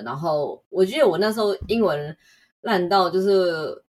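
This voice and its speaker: A woman speaks at a fairly slow pace. She has an unremarkable speaking voice with lively intonation. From Taiwan. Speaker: UX designer. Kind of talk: interview.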